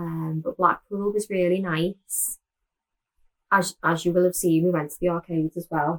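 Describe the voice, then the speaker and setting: A woman's medium-pitched voice in a Liverpool accent at a moderate pace, with a dry, close sound and no echo. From Liverpool, England. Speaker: knitting podcaster. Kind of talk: casual chat.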